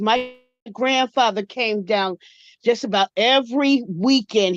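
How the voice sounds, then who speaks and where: A woman with an American accent and an ordinary speaking voice talks in a fairly high pitch with ordinary pitch variation. The sound is dry and close with no echo. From Atlantic City, New Jersey. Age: 60s. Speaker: caller. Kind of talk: casual chat.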